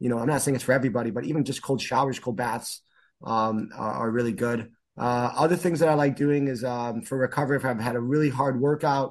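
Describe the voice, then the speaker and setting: A man speaks at a moderate pace in a medium pitch with ordinary pitch variation. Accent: Chicago. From US Midwest, northern Chicago suburbs, Illinois. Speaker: martial arts instructor. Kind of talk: casual interview.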